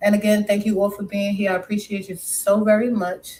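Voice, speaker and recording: The voice has an American accent and a dark, mellow tone that is somewhat breathy. Its intonation stays monotone and flat. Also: woman. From New York City, Brooklyn, West Indian family. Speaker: live streamer. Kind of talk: casual live stream chat. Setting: live stream.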